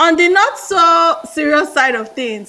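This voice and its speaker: A woman uses a raised, projected voice with very wide pitch swings. Noticeable background noise runs underneath. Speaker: management consultant, MBA graduate. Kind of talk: interview.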